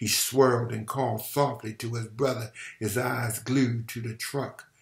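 With fairly even intonation, the speaker does plain reading aloud.

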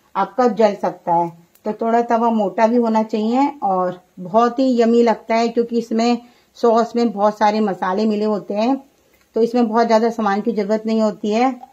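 Against a quiet background, a woman speaks at a fairly slow pace. Her intonation is monotone and flat. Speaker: home cook recipe host. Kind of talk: cooking tutorial. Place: kitchen.

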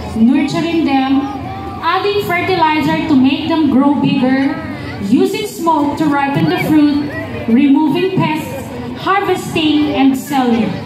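A woman with a high-pitched voice speaks at a fairly slow pace and very even loudness, with audible room echo and noticeable background noise. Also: ordinary pitch variation. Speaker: event narrator. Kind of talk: narrated story reading. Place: street.

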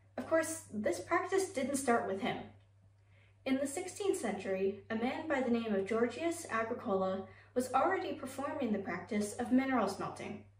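With audible room echo around her, a woman speaks at a high pitch with very wide pitch swings. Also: moderate pace. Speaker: college speech competitor. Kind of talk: informative speech. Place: home room. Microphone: camera far.

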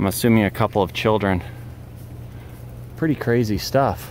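Speech comes at a moderate pace with light background noise. The sound is dry, with no echo. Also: man. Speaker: travel vlogger. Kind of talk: casual vlog chat. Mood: curious, light. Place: forest. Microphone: phone near.

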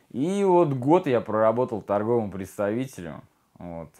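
A man is speaking. The background is quiet. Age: 30s. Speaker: recovering addict in rehab. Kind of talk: testimony. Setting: rehabilitation center. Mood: subdued, confessional. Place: home room.

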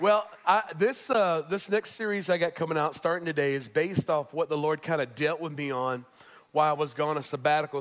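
This man's speech has ordinary pitch variation and moves at a fairly quick pace. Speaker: pastor. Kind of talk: sermon. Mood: personal, reflective. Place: church.

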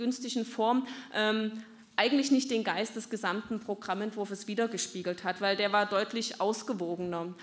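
A woman's moderate pace pairs with fairly even intonation. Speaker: party politician. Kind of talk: speech at a party meeting. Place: hall. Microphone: podium.

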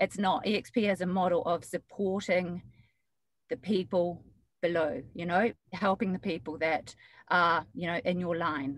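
Speaking at a moderate pace in a New Zealand accent, a woman uses a fairly low pitch with ordinary pitch variation. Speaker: real estate agent. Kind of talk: webinar discussion.

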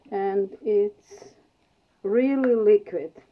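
With a non-native accent, a woman speaks very slowly over light background noise. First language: non-native English speaker. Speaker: acrylic pouring artist. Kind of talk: art tutorial demonstration. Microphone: phone near.

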